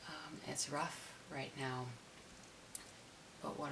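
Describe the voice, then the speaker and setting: Soft-spoken and monotone, a woman delivers flat intonation at a very deep, low pitch and a very slow pace, over noticeable background noise. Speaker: customer service worker. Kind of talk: ASMR soft-spoken chat. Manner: soft-spoken, slow.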